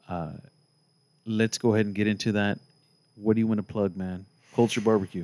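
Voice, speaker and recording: Speaking at a fairly quick pace with long, frequent pauses, a man with an American accent keeps a monotone, flat intonation in a fairly low pitch. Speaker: podcast host. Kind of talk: casual interview.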